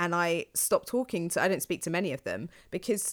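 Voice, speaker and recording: An unremarkable speaking voice at a fairly quick pace, on a very clean recording with a silent background. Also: woman. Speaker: podcast host appearing as guest. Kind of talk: casual chat.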